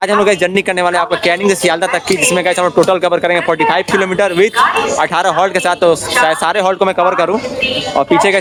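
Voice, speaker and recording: A man's high pitch and fairly even intonation over noticeable background noise. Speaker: travel vlogger. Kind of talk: vlog narration. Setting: on a train and station platform. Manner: fast.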